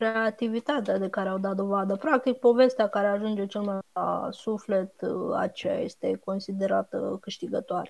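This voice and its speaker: A woman talks at a moderate pace. Her voice sits at a medium pitch with ordinary pitch variation. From Romania, Buzău. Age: 30s. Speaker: blogger and regional franchise director. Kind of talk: interview. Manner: halting.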